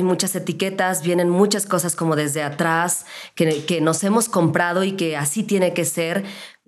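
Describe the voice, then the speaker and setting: With a Mexican accent, a woman with a fairly low pitch talks at a moderate pace. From Mexico, León, Guanajuato. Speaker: podcast host, radio announcer. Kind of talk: casual interview chat.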